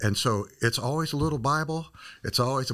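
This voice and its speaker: With a Midwestern American accent, a man speaks at a fairly quick pace with ordinary pitch variation on a very clean recording with a silent background. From small-town Illinois. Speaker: missionary and ministry director. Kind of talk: interview. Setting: studio.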